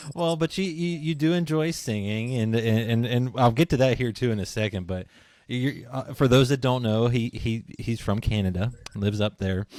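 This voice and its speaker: With an American accent and an unremarkable speaking voice, a man talks at a moderate pace and medium pitch with ordinary pitch variation, in a very clean recording with a silent background. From western Pennsylvania (near Pittsburgh). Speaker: podcast host. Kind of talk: casual interview.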